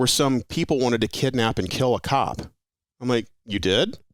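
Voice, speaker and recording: The speaker has a General American accent and an animated tone, talking at a moderate pace on a very clean recording with a silent background. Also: man. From Las Vegas, Nevada. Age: 40s. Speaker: retired police officer. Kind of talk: casual chat.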